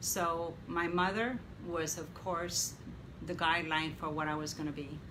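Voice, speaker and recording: Audible room echo follows this fairly slow speech. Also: woman. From Mexico. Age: 70s. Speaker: interviewee, mother of host. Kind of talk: interview.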